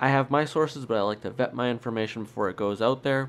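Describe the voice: A man talks at a fairly quick pace. His voice is nasal with fairly even intonation.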